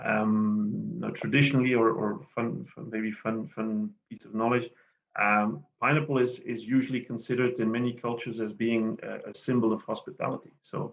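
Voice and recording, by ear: At a moderate pace, a man speaks with a fairly low pitch, vocal fry and little pitch movement.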